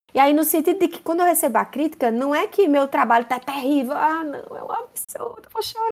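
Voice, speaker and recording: A woman's high pitch at a fairly quick pace, with very wide pitch swings. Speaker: university professor. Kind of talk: interview.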